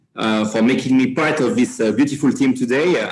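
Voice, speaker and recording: Audible room echo surrounds the speaker. He is a man with a medium pitch. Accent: French. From France. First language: French. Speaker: company regional manager. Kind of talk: panel discussion. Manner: halting, many fillers.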